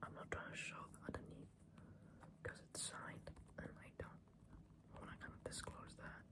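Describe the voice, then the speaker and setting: Whispering, a woman speaks at a moderate pace. Long, frequent pauses break up her speech. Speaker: ASMR creator. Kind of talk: casual talk to camera. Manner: soft-spoken, whispered.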